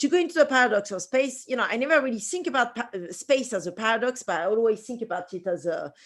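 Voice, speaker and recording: A woman talks at a very fast pace in a strong French accent. Her fairly high voice has very wide pitch swings. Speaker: space researcher and designer. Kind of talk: conference presentation.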